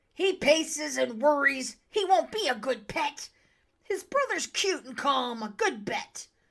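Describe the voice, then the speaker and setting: A woman puts on a gruff, raspy character voice, pitched high, with very wide pitch swings and a fairly slow pace. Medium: read story. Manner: gruff, impatient.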